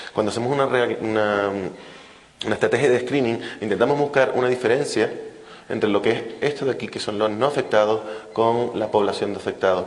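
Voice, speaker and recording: A man's medium-pitched voice at a fairly quick pace, with long, frequent pauses, noticeable background noise and audible room echo. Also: fairly even intonation. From Canary Islands, Spain. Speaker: fetal medicine physician, invited speaker. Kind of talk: lecture. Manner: fast.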